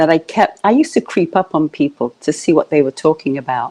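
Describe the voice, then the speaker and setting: A woman with a British accent has a fairly low pitch and a dark, mellow tone, heard in a dry, close sound with no echo. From UK. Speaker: coach. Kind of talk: interview. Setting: live video stream.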